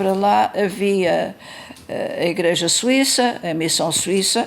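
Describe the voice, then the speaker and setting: A woman is the speaker. Her voice sits at a medium pitch. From Mozambique (Maputo, then Beira). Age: 80s+. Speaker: interviewee recounting family church history. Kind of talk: oral history interview. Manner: hesitant, with fillers.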